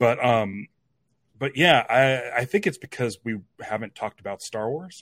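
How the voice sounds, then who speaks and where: In a normal speaking voice, a man talks at a moderate pace and medium pitch with lively intonation, sounding dry and close with no echo. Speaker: podcast host. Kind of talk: casual chat.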